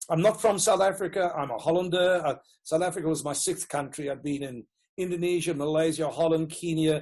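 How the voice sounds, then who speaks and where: Fairly quick speech in a Rhodesian accent, with ordinary pitch variation and a quiet background. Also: man. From Rhodesia (Zimbabwe), Dutch-born. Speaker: educational consultant and author. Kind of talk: interview.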